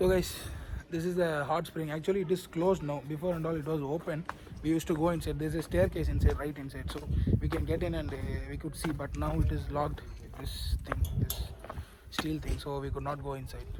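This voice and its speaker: A man speaks fairly quickly. Background noise is noticeable throughout. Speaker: travel vlogger. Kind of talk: casual vlog narration. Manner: halting, many fillers.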